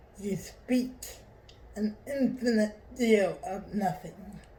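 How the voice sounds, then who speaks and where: A woman puts on a character voice, strained and at a medium pitch. She speaks at a very slow pace. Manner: simmering anger, restrained.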